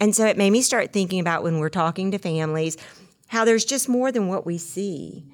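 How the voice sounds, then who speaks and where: This woman has a Mississippi accent and a medium pitch. Her pitch varies in an ordinary way. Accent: US Southern (Mississippi). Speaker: podcast co-host. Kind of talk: reflective conversation segment. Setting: studio.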